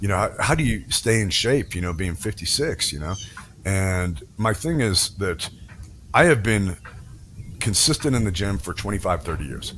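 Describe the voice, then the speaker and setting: The voice swings very widely in pitch. Its pace is moderate. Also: man, fairly low pitch for a man. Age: 50s. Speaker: former Marine, SWAT officer and tactical trainer. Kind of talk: casual chat. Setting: podcast interview.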